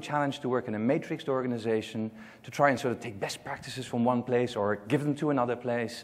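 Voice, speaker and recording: Speaking at a very fast pace, a man talks with a Dutch accent. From Netherlands. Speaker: global marketing consultant. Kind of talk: conference presentation. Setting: stage with audience.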